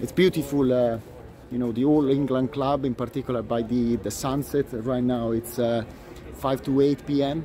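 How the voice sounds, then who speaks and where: With light background noise and a dry sound that has no echo, a man talks at medium pitch with fairly even intonation. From Italy. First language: Italian. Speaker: tennis commentator, video blogger. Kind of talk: solo vlog commentary. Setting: outdoors at a tennis venue. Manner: hesitant, many fillers. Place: stadium. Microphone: phone near.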